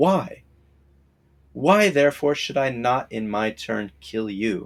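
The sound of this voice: A man's slow put-on character voice with vocal fry and big pitch swings. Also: medium pitch for a man.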